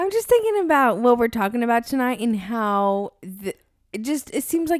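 A woman with an ordinary speaking voice talks at a fairly high pitch and a fairly quick pace on a very clean recording with a silent background. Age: 30s. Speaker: podcast co-host. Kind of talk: casual chat.

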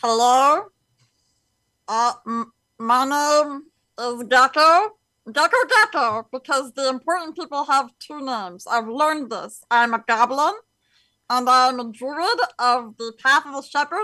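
Against a quiet background, a female-sounding voice in a high-pitched put-on character voice speaks at a fairly slow pace with long, frequent pauses. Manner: quirky, naive.

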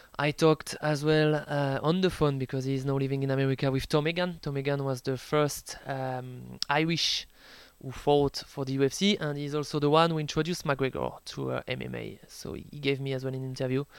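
On a very clean recording with a silent background, a man with a French accent talks at a fairly quick pace with hardly any pauses, his fairly high voice monotone and flat. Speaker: sports journalist and author. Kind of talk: interview. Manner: hesitant, many fillers.

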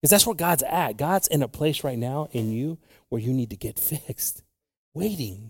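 Somewhat breathy and warm in tone, a man speaks at a fairly high pitch. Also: lively intonation, moderate pace. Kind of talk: sermon. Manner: call-and-response, animated, urging the congregation to answer with an amen; warm, conversational preacher, switching between English and Spanish.

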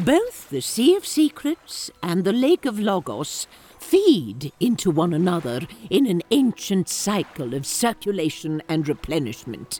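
Speaking at a fairly slow pace in a medium pitch, a woman makes very wide pitch swings, with a dry, close sound and no echo. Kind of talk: audio drama acting. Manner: measured, wise, stern but cheeky.

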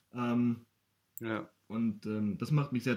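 This is an ordinary speaking voice. Its pitch variation is ordinary. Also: man. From Bavaria, Ingolstadt. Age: 20s. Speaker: poetry slammer and local sports journalist. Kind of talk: casual interview.

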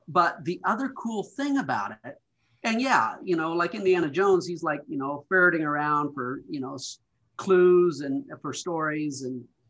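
A man speaks with an American accent at a high pitch. His intonation is lively. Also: moderate pace. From Montana, US. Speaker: childhood friend of the host. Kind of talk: casual chat.

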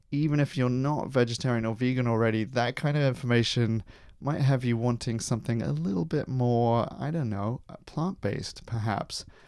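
A man with a southern English accent speaks at a fairly quick pace on a very clean recording with a silent background. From London, England. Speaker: podcast host. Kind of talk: interview; scripted narration.

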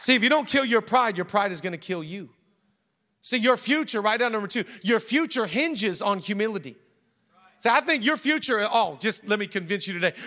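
The voice is raised and projected, with lively intonation. The pace is fairly quick. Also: man, high pitch for a man. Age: 40s. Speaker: pastor. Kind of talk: sermon. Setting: church. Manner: animated.

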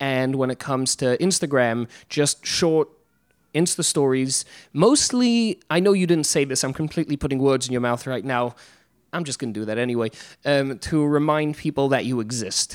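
Spoken at a moderate pace with an English accent. The recording is very clean and the background silent. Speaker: podcast host. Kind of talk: casual chat. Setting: Brooklyn, recorded live on Instagram.

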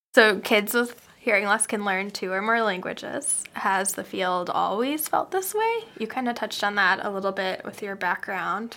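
With an unremarkable speaking voice, a woman talks at a moderate pace and medium pitch, her intonation fairly even and her speech almost free of pauses. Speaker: podcast host, speech-language pathologist. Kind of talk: casual chat, interview.

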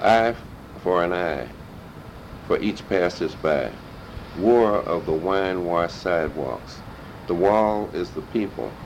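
Amid noticeable background noise, a man with a very deep, low pitch speaks fairly slowly with ordinary pitch variation and long, frequent pauses. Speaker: community activist, oral history interviewee. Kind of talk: oral history interview.

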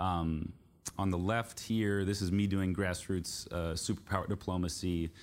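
Captured on a very clean recording with a silent background, this voice has a Californian accent and fairly even intonation. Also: man. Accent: General American (California). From US, San Francisco Bay Area. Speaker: journalist and author. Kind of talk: book talk to live audience.

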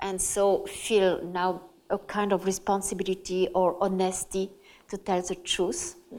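A French accent at a fairly slow pace. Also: woman. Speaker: journalist and author. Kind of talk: public talk interview. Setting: stage with audience.

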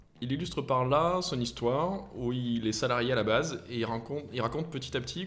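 A man talks at a moderate pace, and audible room echo can be heard around him. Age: 30s. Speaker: entrepreneur. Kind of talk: interview.

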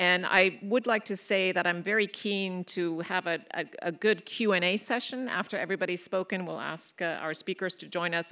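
A woman speaks at a moderate pace in a fairly low pitch, her bright, sharp tone and fairly even intonation captured in a very clean recording with a silent background. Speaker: moderator. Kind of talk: panel moderation. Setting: stage with audience.

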